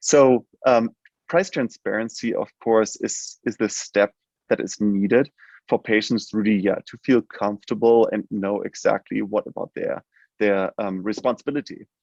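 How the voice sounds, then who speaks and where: A man speaks at a moderate pace with a German accent. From Germany. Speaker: healthcare tech company CEO. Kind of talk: interview. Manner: halting, many fillers.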